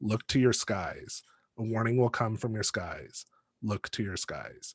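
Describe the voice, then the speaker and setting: A man's put-on character voice at medium pitch, delivered at a fairly slow pace. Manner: ominous.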